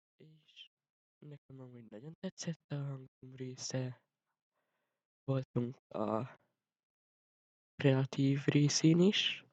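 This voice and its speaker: A man speaks at a very slow pace, with long, frequent pauses and big swings in loudness. His pitch is medium, his intonation fairly even, and the sound is dry and close with no echo. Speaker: vlogger. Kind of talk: casual vlog talk.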